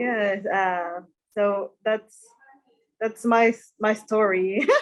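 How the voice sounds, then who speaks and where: With a Mexican accent, a woman speaks at a fairly high pitch. Her pace is very slow and her intonation fairly even. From Mexico (Monterrey). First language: Spanish. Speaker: hairstylist. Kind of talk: interview. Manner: halting.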